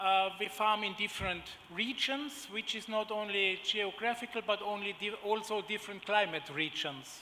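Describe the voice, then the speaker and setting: A man speaks at a fairly slow pace in a raised, projected voice, with audible room echo. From Germany. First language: German. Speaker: agribusiness executive. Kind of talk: conference panel presentation. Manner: halting, many fillers.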